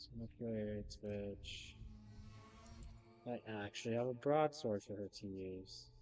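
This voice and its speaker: Against music in the background, a man speaks at a fairly slow pace with a fairly low pitch, ordinary pitch variation, and long, frequent pauses. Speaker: gaming streamer. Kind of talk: live gameplay stream. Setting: home, neighbors nearby. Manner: soft-spoken, not projecting; halting, hesitant.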